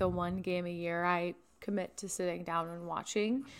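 An unremarkable speaking voice from a woman at medium pitch, on a very clean recording with a silent background. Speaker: podcast co-host. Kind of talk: casual comedic banter.

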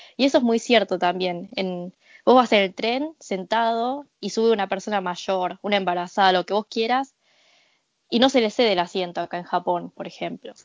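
A woman is speaking with an Argentine accent. Her pitch sits in the medium range. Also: ordinary pitch variation, moderate pace. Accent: native-sounding Argentine Spanish. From Argentina. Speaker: podcast guest. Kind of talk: casual chat.

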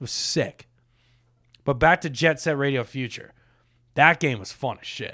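A man's bright, sharp tone at a fairly high pitch and moderate pace, with big swings in loudness and long, frequent pauses. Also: ordinary pitch variation, very clean recording, silent background. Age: 20s. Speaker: gaming podcast host. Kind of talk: casual chat. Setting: studio.

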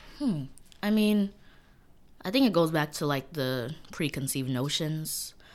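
With a New York accent, a woman with a very deep, low pitch speaks at a fairly slow pace with lively intonation and long, frequent pauses, on a very clean recording with a silent background. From New York City, East New York, Brooklyn. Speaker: college student. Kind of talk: casual chat.

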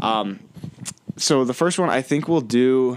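This is a man speaking at a medium pitch. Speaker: podcast co-host, college student. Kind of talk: casual chat.

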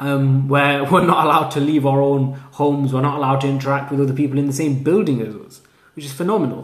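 In a Lancashire accent, a man talks at a very fast pace with fairly even intonation and big swings in loudness. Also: fairly high pitch for a man. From northern England, Lancashire (Haslingden). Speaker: university student podcaster. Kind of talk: casual solo monologue.

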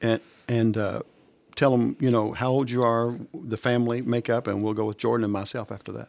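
A man talks at a fairly quick pace in a plain, everyday voice. His pitch is medium and his intonation fairly even. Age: 60s. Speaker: church staff member, podcast co-host. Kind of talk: casual chat. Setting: studio at church.

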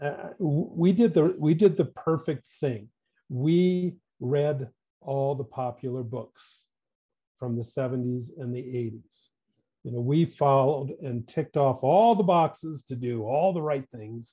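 Against a quiet background, a somewhat breathy man with an American accent speaks at a very slow pace, his fairly high pitch showing ordinary variation and a dark, mellow tone. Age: 60s. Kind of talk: interview conversation.

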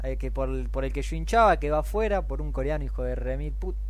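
Speaking at a fairly quick pace with a Rioplatense accent, a man with a very deep, low voice sounds somewhat breathy and keeps a monotone, flat intonation. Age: 20s. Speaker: podcast co-host. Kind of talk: casual chat.

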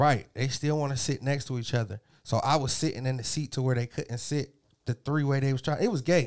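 At a fairly quick pace, a man with a fairly high pitch and fairly even intonation has an ordinary speaking voice. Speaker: podcast host. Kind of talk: casual banter, profane.

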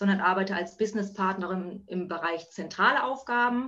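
Speaking at a moderate pace and medium pitch, a woman shows ordinary pitch variation against noticeable background noise. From northern Germany (Buxtehude, near Hamburg). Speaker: working mother, office worker. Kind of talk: casual interview. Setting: video call. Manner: hesitant, many filler sounds.

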